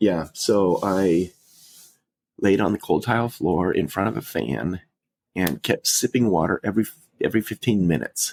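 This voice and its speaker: Male voice with vocal fry, fairly low pitch, ordinary pitch variation and a moderate pace broken by long, frequent pauses, in a dry, close sound with no echo. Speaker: funeral director, podcast co-host. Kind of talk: casual chat. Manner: breathing heavy.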